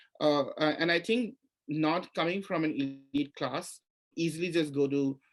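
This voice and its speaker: At a moderate pace, a man speaks at a fairly high pitch with ordinary pitch variation and very even loudness. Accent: Assamese. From India, Assam. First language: Assamese. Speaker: writer and literature professor. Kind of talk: panel interview at literary festival. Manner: halting, many repetitions.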